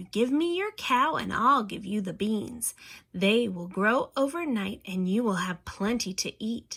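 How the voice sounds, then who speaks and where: A woman puts on a character voice with a fairly high pitch and lively intonation. She speaks at a moderate pace on a very clean recording with a silent background. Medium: read story.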